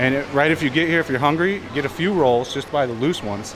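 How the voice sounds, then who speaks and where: Noticeable background noise under a man's voice, its pitch moving in an ordinary way. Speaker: travel vlogger. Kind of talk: casual vlog chat. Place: shop. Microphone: phone near.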